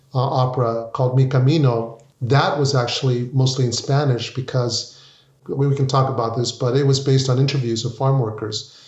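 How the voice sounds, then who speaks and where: In a room with audible echo, a man talks fairly quickly at a medium pitch in a flat, monotone delivery. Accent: American. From US, Mexican American family. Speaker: opera composer. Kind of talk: interview conversation.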